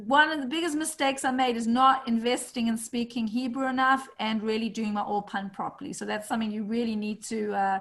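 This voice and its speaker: A woman speaks in a South African accent at a fairly quick pace with hardly any pauses. Her fairly high pitch shows ordinary pitch variation. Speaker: real estate agent and community call host. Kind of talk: online community call introduction.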